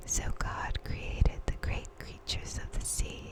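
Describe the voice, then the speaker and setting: Whispering very slowly, a woman speaks in a soothing tone. Noticeable background noise can be heard. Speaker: ASMR Bible reader. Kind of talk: ASMR Bible reading, sleep aid. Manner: whispered, soothing.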